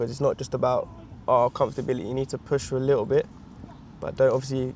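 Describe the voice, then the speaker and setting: The speech is mumbled. Its intonation stays fairly even. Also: man. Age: 20s. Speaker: vlogger. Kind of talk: exercise instruction; casual vlog talk. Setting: outdoors in a field. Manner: mumbling; quiet, not projecting.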